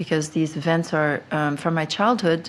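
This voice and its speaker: Fairly even intonation in a woman's very deep, low-pitched voice. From Belgium. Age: 50s. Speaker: abuse survivor and advocate. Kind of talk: interview. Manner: halting.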